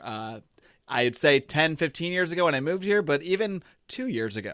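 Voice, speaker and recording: This man has an American accent and an ordinary speaking voice at a moderate pace. The recording is very clean, with a silent background. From western New York (Buffalo), also Connecticut. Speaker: podcast host. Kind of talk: casual interview chat.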